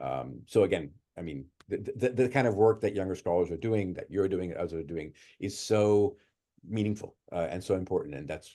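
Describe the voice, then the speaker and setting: A man's very deep, low voice with vocal fry, a dark, mellow tone, lively intonation and a fairly quick pace. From Italy. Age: 60s. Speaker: music professor. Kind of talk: interview conversation. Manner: halting, many fillers and repeats.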